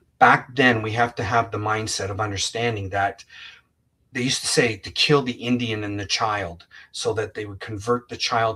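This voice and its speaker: With a bright, sharp tone and a fairly low pitch, a man speaks at a moderate pace while his loudness rises and falls sharply. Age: 60s. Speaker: psychic medium and author. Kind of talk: interview. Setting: radio show.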